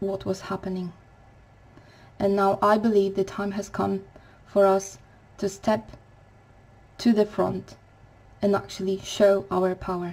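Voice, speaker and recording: A woman with a non-native accent speaks at a fairly slow pace in a flat, monotone intonation. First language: not English. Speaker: spiritual vlogger. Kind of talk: spiritual talk to camera. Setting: home recording at night. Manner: quiet, to avoid waking neighbours; halting.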